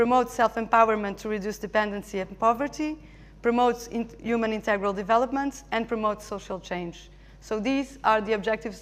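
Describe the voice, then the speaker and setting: A woman with a Portuguese accent speaks in a fairly high pitch. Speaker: charity representative. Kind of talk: conference presentation. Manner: halting.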